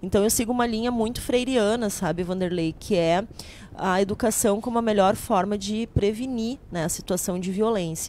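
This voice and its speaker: Over light background noise, a woman speaks at a moderate pace with ordinary pitch variation, the sound dry with no echo. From southern Brazil, Rio Grande do Sul (Paranhana valley); Rio Grande do Sul, Brazil. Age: 40s. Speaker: political candidate; candidate. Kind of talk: interview. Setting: studio, live broadcast. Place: studio. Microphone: handheld.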